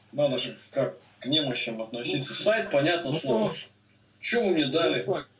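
Noticeable background noise sits behind this recording. A man speaks at a fairly slow pace. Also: long, frequent pauses. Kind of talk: casual chat. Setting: video call.

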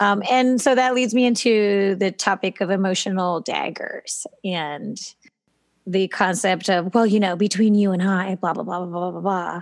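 Here is a normal speaking voice with ordinary pitch variation. It moves at a moderate pace. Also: woman. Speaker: podcast co-host and gymnastics coach. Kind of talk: casual chat.

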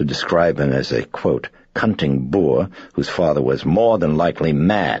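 A man speaks at a very deep, low pitch, the sound dry with no echo against a quiet background. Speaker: author reading own novel. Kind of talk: audiobook narration.

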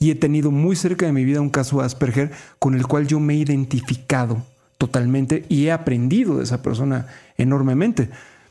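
His tone is dark and mellow. The man speaks at a fairly quick pace with a fairly high pitch for a man. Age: 50s. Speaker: radio host and motivational speaker. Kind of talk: casual chat.

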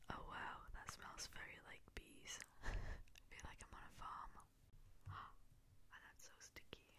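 Whispering with a playful tone, the speaker goes at a fairly slow pace. Long pauses come often. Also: woman. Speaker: youtuber. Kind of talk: casual talk to camera. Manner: casual, playful, quiet. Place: home room. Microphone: studio mic.

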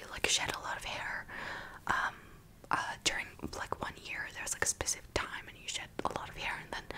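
Over noticeable background noise, a woman whispers, soft-spoken. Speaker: vlogger. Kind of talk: casual vlog chat. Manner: soft close-mic whisper. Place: home room. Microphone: studio mic.

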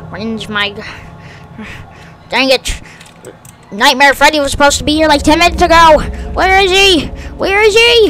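In a put-on character voice, the speaker goes at a moderate pace with long, frequent pauses. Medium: machinima. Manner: scornful, impatient.

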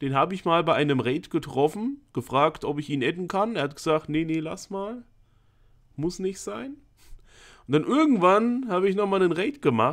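The background is quiet as a man speaks. His pitch swings very widely. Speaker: gaming streamer. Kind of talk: casual stream commentary. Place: home room. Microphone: studio mic.

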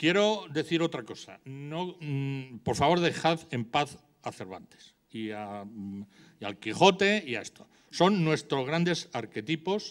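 The background is quiet as the speaker goes at a very slow pace. Both loudness and pitch swing very widely. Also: man. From Spain (Madrid). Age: 70s. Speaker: urban planning professor. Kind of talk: public debate speech. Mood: passionate, openly angry. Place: hall. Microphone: handheld.

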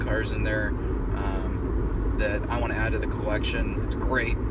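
There is loud background noise behind a man speaking in a dry sound with no echo. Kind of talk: casual vlog chat. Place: car. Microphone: phone near.

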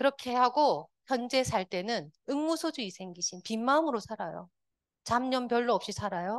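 The speaker uses lively intonation and keeps a moderate pace. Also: woman, high pitch for a woman. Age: 50s. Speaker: Won Buddhist minister and meditation teacher. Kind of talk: lecture.

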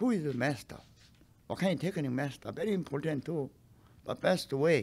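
A man speaks with lively intonation, a slightly mellow tone, vocal fry and a slightly husky edge. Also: fairly high pitch for a man, fairly quick pace.

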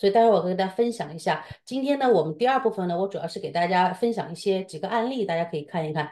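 A woman speaks very fast in a dark, mellow tone with lively intonation. The background is quiet. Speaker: co-host of the seminar, professional advisor; co-host of the seminar. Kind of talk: seminar intro and commentary. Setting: online seminar, video call with screen sharing. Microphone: video call.

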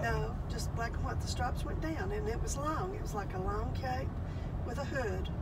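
Over loud background noise, a woman speaks at a moderate rate. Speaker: storyteller. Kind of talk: personal ghost story told in conversation. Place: car. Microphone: phone near.

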